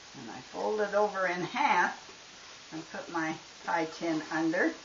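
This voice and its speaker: A fairly low-pitched woman's voice, fairly slow, with lively intonation and big swings in loudness against noticeable background noise. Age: 80s+. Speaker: ranch wife, home baker. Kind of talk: cooking demonstration.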